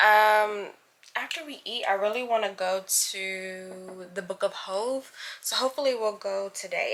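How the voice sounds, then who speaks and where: A woman with an American accent speaks at a fairly high pitch with ordinary pitch variation. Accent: Brooklyn accent coming back. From New York City, Brooklyn. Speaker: vlogger. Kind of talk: casual vlog chat. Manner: animated.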